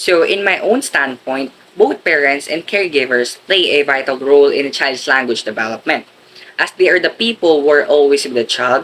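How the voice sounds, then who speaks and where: Here a man speaks with a Filipino accent. Light background noise can be heard. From Philippines. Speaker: education student. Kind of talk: school presentation, reading aloud. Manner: formal. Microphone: webcam.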